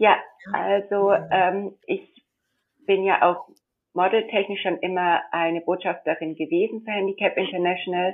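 A woman with medium pitch and fairly even intonation, broken by long, frequent pauses. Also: fairly slow pace. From India. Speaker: model and confectionery entrepreneur. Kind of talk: interview. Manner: hesitant, many fillers.

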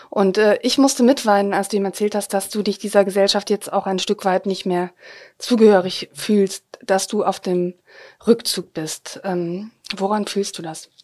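A woman with a normal speaking voice talks at a medium pitch and a moderate pace, keeping her intonation fairly even. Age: 40s. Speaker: podcast host. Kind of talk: interview. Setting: remote call.

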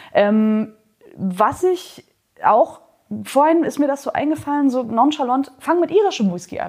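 With very wide pitch swings and long, frequent pauses, a woman speaks at a high pitch. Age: 30s. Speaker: whisky educator. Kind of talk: interview. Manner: animated.

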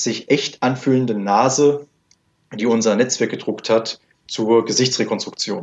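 In a plain, everyday voice, a man speaks at a medium pitch and a fairly slow pace with fairly even intonation. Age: 20s. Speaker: 3D printing entrepreneur. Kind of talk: interview. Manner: formal.

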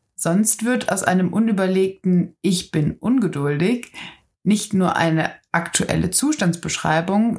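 Very clean and silent in the background, the recording holds a woman's somewhat breathy voice at a medium pitch. She speaks at a fairly slow pace with ordinary pitch variation. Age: 20s. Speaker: self-development podcaster. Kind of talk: personal reflective monologue.

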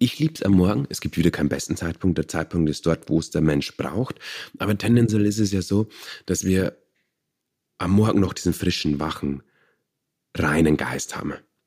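A man with a very deep, low pitch and ordinary pitch variation speaks with long, frequent pauses on a very clean recording with a silent background. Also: moderate pace. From Bavaria. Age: 30s. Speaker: meditation teacher. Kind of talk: interview.

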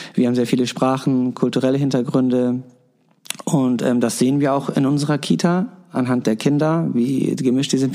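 A man at medium pitch talks at a moderate pace in a normal speaking voice, with ordinary pitch variation and very even loudness. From Hamburg-Wilhelmsburg. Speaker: daycare educator. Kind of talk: interview.

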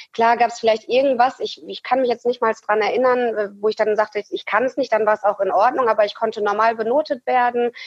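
A woman talks at a fairly quick pace with hardly any pauses. Her fairly high pitch follows a fairly even intonation. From Ruhr area, western Germany. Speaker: amputee, prosthesis wearer. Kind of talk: interview, personal story. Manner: hesitant, many fillers.

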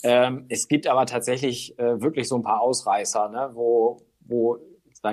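This man speaks at a medium pitch in a flat monotone. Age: 40s. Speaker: newspaper reporter. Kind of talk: casual interview. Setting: remote call. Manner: hesitant with fillers.

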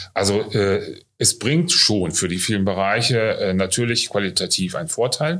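Speaking at a fairly slow pace on a very clean recording with a silent background, a man with a plain, everyday voice and fairly low pitch uses lively intonation. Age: 50s. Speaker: nursing school director. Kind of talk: interview. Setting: on location at training centre.

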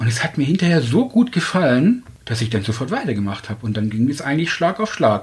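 Somewhat breathy and fairly high-pitched, a man talks very fast. His pitch swings very widely. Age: 40s. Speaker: dating podcast guest. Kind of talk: casual interview.

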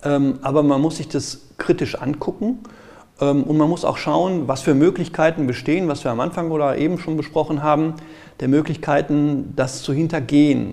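Fairly even intonation marks a man's fairly high voice as he talks at a moderate pace. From Ruhr area, Germany (Gelsenkirchen). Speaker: IT security auditor. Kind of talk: interview. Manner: halting.

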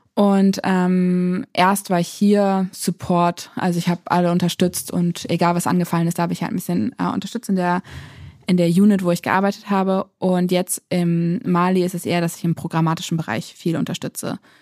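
This speaker has an unremarkable speaking voice. The pace is moderate and the intonation fairly even. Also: woman, fairly low pitch for a woman. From Lower Saxony, Germany. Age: 20s. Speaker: aid worker. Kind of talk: interview.

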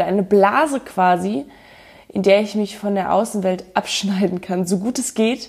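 A woman talks at a moderate pace. Her pitch sits in the middle range. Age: 30s. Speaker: podcast host. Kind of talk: personal monologue.

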